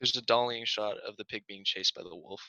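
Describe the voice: In a dry, close sound with no echo, a man speaks at a fairly quick pace with fairly low pitch, ordinary pitch variation, a bright, sharp tone and vocal fry.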